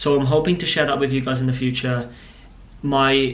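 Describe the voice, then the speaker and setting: A man's voice with audible room echo. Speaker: vlogger and business owner. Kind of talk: casual vlog to camera.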